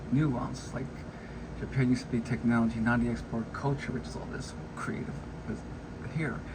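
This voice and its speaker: There is audible room echo around a man's voice. He speaks at a medium pitch with ordinary pitch variation. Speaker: vlogger giving commentary. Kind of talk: casual monologue reacting to an article. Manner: fast; halting, with false starts.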